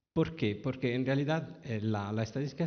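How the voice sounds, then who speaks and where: This is a man with an Italian accent. His pitch varies in an ordinary way. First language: Italian (speaking Spanish). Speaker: author. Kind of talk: talk at a public book event. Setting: library event with audience. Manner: halting, many fillers and restarts.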